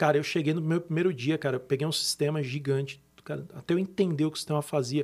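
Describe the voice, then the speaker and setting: The man's voice is fairly high-pitched and somewhat breathy. He speaks at a very fast pace. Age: 40s. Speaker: tech company executive. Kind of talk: podcast interview.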